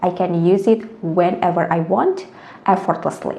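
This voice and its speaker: There is audible room echo and noticeable background noise. A woman talks at a fairly slow pace and a medium pitch, with ordinary pitch variation. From Indonesia. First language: Indonesian. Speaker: language tutor. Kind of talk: tutorial.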